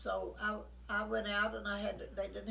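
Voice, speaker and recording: A woman speaks with an Appalachian accent at a fairly slow pace. Noticeable background noise runs underneath. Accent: Appalachian Kentucky. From rural Kentucky. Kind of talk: storytelling, oral history.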